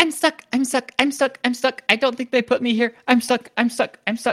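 A put-on character voice at a fairly high pitch and a moderate pace. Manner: panicked, repetitive wailing.

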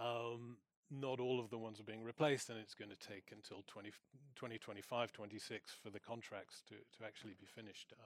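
In a normal speaking voice of medium pitch, a man talks at a fairly quick pace with big swings in loudness, the sound dry and close with no echo. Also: fairly even intonation. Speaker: senior researcher on arms exports. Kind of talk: panel discussion. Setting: stage with audience.

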